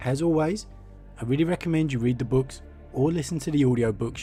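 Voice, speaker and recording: Background music can be heard. The man's pitch moves in an ordinary way as he talks. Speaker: lore narrator. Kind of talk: casual talk to camera.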